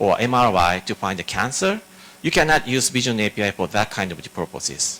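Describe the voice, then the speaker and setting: A man talks at a fairly quick clip. His pitch swings very widely. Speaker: tech developer advocate presenter. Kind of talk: conference tech presentation with live demos. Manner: halting, many fillers and restarts.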